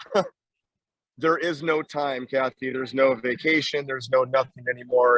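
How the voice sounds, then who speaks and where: A man's medium-pitched voice moves at a moderate speed, his intonation fairly even. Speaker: volleyball coach. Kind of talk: panel discussion. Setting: live at a convention, noisy.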